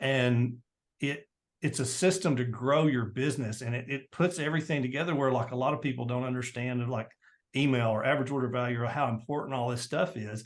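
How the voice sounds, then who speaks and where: Here a man talks at a fairly quick pace. His pitch is medium. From US South, Tennessee. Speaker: entrepreneur and marketing guest. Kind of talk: interview. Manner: fast; animated.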